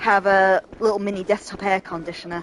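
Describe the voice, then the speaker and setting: A woman with a northern English accent, medium-pitched, at a moderate pace with fairly even intonation, over noticeable background noise. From northern England. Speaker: gaming streamer. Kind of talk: let's play commentary. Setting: home room while gaming. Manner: casual, chatty.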